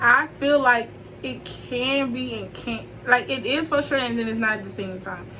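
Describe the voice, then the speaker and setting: Against noticeable background noise and audible room echo, a woman with a fairly high pitch speaks at a fairly slow pace. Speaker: YouTuber hosting a chat. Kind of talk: casual chat.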